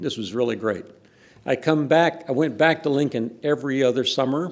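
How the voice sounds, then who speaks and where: Speaking in a Texan accent, a man keeps a medium pitch with ordinary pitch variation. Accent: Texan, noticeable. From Texas. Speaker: professor. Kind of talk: reminiscing talk at academic event.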